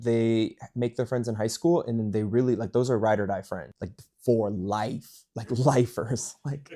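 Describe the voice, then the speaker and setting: Speaking at a fairly slow pace, this man has an American accent, a medium pitch and a dark, mellow tone. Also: ordinary pitch variation. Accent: American accent when speaking French. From United States. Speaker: travel YouTuber and author. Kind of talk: casual chat. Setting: in Paris. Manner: animated.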